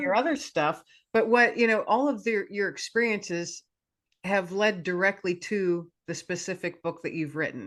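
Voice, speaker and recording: At a moderate pace, a woman uses a plain, everyday voice of medium pitch and lively intonation against a quiet background. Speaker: podcast host. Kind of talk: podcast interview questions.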